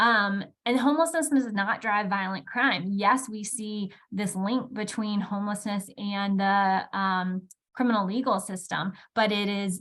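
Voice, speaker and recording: A woman with a normal speaking voice, medium in pitch, at a fairly slow pace, with ordinary pitch variation. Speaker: housing policy researcher. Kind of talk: panel presentation.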